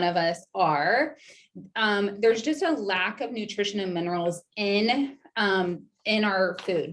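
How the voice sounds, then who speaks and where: Here a woman talks with an ordinary speaking voice at a medium pitch. Her intonation is lively. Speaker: registered nurse and wellness educator. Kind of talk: online presentation.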